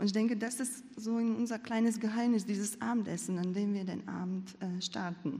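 A woman speaks at a moderate pace, fairly high in pitch with fairly even intonation. Her tone is dark and mellow and somewhat breathy. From Latvia. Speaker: church member. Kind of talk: testimony.

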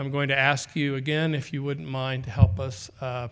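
In an ordinary speaking voice, a man talks at a medium pitch with fairly even intonation. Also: very clean recording, silent background. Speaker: foundation president. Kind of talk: event introduction. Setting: stage with audience.

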